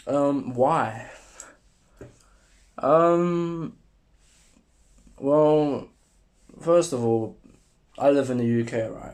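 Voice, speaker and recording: With a British accent, a man speaks at a very slow pace. His pitch is fairly high, and he leaves long, frequent pauses. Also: ordinary pitch variation. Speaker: vlogger. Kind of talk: casual monologue to camera. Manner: hesitant, many fillers.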